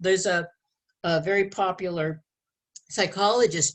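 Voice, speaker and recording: Her voice is medium in pitch and somewhat breathy. The woman keeps a moderate pace. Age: 70s. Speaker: relationship educator. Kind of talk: interview.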